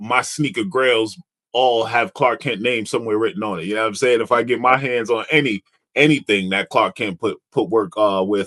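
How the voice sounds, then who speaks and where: A man with an American accent at a moderate pace, in a normal speaking voice. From New York area. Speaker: podcast host. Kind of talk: casual interview chat.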